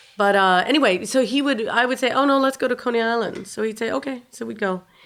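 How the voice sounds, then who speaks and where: The recording is very clean, with a silent background. A woman speaks at a very fast pace in a fairly high pitch with ordinary pitch variation. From New York City, Upper West Side. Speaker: guitarist. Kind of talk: interview.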